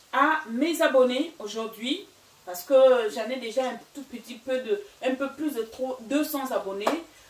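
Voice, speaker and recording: A woman's high voice at a very slow pace, with ordinary pitch variation and noticeable background noise. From Gabon and Equatorial Guinea. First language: Fang (Equatorial Guinean language) (speaking French). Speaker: cooking YouTuber. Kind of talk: cooking tutorial. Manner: casual, with frequent hesitations.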